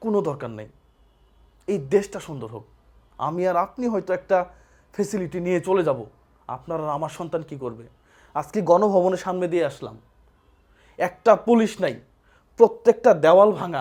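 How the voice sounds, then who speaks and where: The recording is very clean, with a silent background. A man with a high pitch speaks with lively intonation. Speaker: political commentator vlogger. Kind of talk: opinion monologue. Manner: animated.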